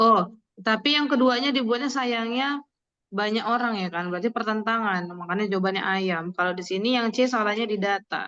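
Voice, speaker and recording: Bright and sharp in tone, a woman speaks at a fairly quick pace and fairly high pitch with ordinary pitch variation. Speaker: tutor teaching an online test-prep class. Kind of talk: online class, casual teaching with students.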